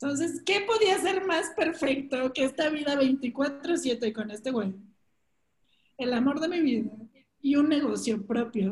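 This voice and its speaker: A woman with a Mexican accent speaks at a fairly slow pace in a high pitch, making very wide pitch swings. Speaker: podcast co-host. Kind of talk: casual chat.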